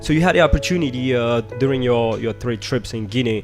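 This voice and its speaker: Music plays in the background as a man talks fairly quickly at a medium pitch with ordinary pitch variation. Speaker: radio show host. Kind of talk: live radio interview.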